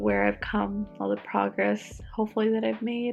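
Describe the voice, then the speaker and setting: Background music accompanies a woman who talks fairly slowly. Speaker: speech language pathologist. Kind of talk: casual talk to camera.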